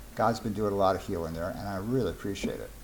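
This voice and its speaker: This is a man speaking. Audible room echo can be heard around his voice. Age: 60s. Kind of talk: casual monologue.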